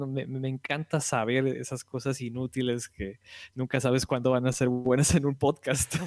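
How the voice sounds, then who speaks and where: A man with a Mexican accent speaks at a fairly slow pace, the sound dry and close with no echo. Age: 20s. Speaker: podcast guest, video game fan. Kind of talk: casual chat.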